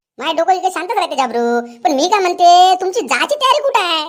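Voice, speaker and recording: A woman's squeaky, cartoonish character voice, extremely high in pitch with very wide pitch swings. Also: moderate pace. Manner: scolding, sharp.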